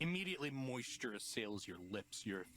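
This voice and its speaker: Whispering in a put-on character voice, a man speaks over clear background noise. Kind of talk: horror narration. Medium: actual play.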